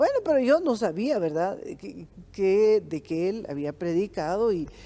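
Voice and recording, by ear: A woman talks at medium pitch and a moderate pace. Her tone is dark and mellow, with lively intonation.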